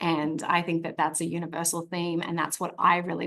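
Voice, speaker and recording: A woman with an Australian accent speaks fairly quickly at a fairly low pitch. Her intonation is monotone and flat, with vocal fry. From Australia, Sydney. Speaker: actress. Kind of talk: press interview.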